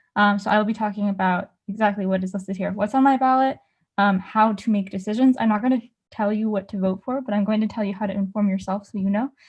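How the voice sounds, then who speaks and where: A woman talks at a very fast pace in a somewhat breathy, medium-pitched voice with fairly even intonation and a quiet background. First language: not English. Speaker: student journalist. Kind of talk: presentation with slides. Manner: many fillers (um, like).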